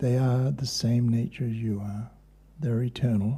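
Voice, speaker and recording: With a dark, mellow tone and a somewhat breathy quality, a man talks at medium pitch with fairly even intonation. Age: 70s. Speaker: kirtan and yoga teacher. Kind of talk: spiritual talk.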